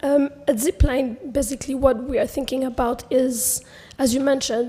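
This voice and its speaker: A woman's high pitch and fairly even intonation at a fairly slow pace, with noticeable background noise. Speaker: panelist from private sector. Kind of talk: panel discussion. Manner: halting.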